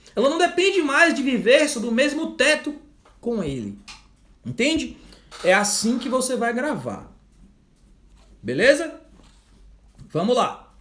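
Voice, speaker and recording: Loud and extremely high-pitched, a man speaks at a fairly slow pace with lively intonation and long, frequent pauses, with audible room echo. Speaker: law exam prep teacher. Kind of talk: live online lecture; sales pitch. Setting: livestream.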